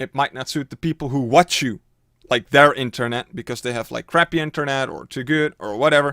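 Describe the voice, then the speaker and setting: In a Dutch accent, a man talks at a fairly quick pace with a bright, sharp tone and fairly high pitch, the sound dry and close with no echo on a very clean recording with a silent background. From Netherlands. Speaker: streamer and YouTuber. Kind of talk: tutorial. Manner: casual, filler-heavy.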